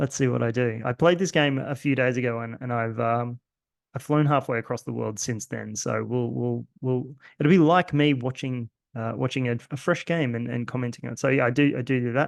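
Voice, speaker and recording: A man with an Australian accent talks at a fairly quick pace. His pitch is medium and varies in an ordinary way. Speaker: card game content creator. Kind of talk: gameplay commentary. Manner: hesitant, many fillers.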